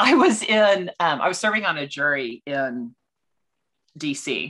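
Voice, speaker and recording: A woman with a Texan accent speaks fairly slowly in a very deep, low pitch, her tone bright and sharp and her pitch swinging very widely. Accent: Texan American. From Texas. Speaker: financial consultant for law firms. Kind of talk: podcast interview. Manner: energetic.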